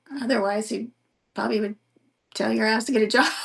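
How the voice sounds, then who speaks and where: A woman speaks with vocal fry at a medium pitch. Her pitch varies in an ordinary way. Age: 50s. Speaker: podcast host and writer. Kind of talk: casual chat. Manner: halting, many fillers and restarts.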